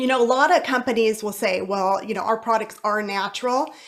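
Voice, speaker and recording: Her pitch is fairly high. The woman keeps a moderate pace. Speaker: wellness product presenter. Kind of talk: sales pitch. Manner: animated.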